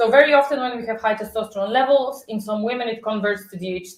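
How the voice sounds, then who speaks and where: A woman speaks at a fairly quick pace in a high voice. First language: not English. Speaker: health vlogger. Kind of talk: casual chat. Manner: halting.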